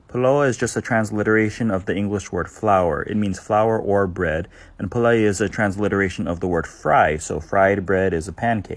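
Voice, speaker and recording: Speaking with a Hawaiian accent, a man keeps a moderate pace and a fairly low pitch, with hardly any pauses. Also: ordinary pitch variation. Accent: Hawaiian local English. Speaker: language content creator. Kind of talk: casual educational short videos. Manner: casual.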